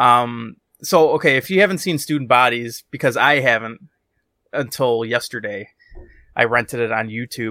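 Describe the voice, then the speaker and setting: The recording is very clean with a silent background as a man speaks at a medium pitch in a bright, sharp tone, with ordinary pitch variation. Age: 30s. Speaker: podcast co-host. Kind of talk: casual chat.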